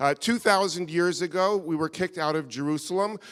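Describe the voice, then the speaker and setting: The voice belongs to a man and sits high in pitch. He talks in an American accent. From US, New York. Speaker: guest lecturer. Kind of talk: lecture. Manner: halting.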